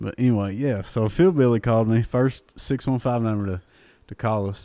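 In an Appalachian accent, a man speaks with a dark, mellow tone and ordinary pitch variation. The recording is very clean, with a silent background. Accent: Appalachian Kentucky. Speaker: country singer. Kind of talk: casual chat. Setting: apartment.

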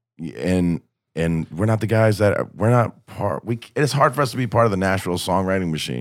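A man's fairly low-pitched, ordinary speaking voice with lively intonation at a fairly quick pace, in a very clean recording with a silent background. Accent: American. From southwest Ohio, north of Cincinnati. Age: 20s. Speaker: country musician. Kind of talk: casual chat.

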